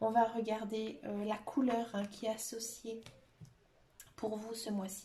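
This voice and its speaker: A woman speaks very slowly in a monotone, flat way, with a fairly high pitch. Long, frequent pauses break up her words, and background noise is noticeable. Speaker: tarot card reader. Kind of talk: tarot reading to camera. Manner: hesitant, many fillers.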